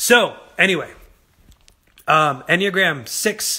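A breathy male voice with a bright, sharp tone, over a quiet background. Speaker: singer doing social media Q&A; host of live Q&A. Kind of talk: casual livestream Q&A. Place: home room. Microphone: phone near.

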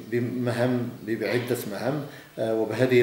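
The intonation is monotone and flat. Audible room echo and light background noise come through. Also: man. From Morocco. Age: 50s. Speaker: regional education official. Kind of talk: interview. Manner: formal. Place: office. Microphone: camera far.

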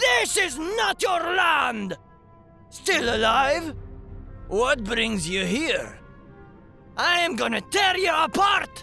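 A man shouts in a put-on character voice at a very slow pace, with long, frequent pauses. Clear music sounds in the background. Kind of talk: fantasy game battle lines. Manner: gruff, defiant, aggressive.

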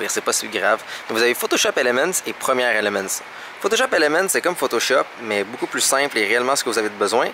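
Talking at a very fast pace with lively intonation, a man with a Quebec accent is heard in a dry sound with no echo over noticeable background noise. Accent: Québécois French. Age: 20s. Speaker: vlogger. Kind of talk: casual vlog talk; tech tutorial. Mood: annoyed, sarcastic. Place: shop. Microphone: phone near.

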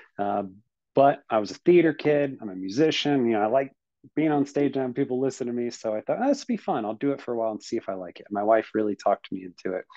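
A man talks very fast at a medium pitch, his pitch varying in an ordinary way. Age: late 30s. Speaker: paranormal podcast co-host. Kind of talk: casual chat. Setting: video call.

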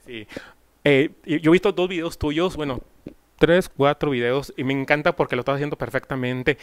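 With a quiet background and a dry sound free of echo, a man talks at a moderate pace in a fairly high voice, showing ordinary pitch variation and big swings in loudness. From Mexico, Monclova (Coahuila); Coahuila, Mexico. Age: 30s. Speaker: singer-songwriter interviewer. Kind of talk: casual interview. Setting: at the guest's home. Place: home room. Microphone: handheld.

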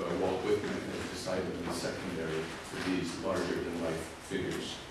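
A man speaks with audible room echo. Loud background noise fills the recording. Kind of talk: lecture. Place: hall.

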